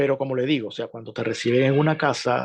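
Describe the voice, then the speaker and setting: At a fairly quick pace, a man with a Venezuelan accent talks with ordinary pitch variation. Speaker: journalist. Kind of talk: interview.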